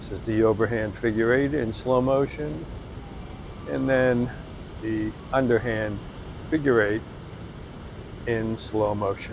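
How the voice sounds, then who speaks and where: With long, frequent pauses, a man talks at a fairly slow pace over noticeable background noise. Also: medium pitch for a man, ordinary pitch variation. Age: 60s. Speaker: fitness instructor. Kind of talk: tutorial. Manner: casual, with frequent fillers.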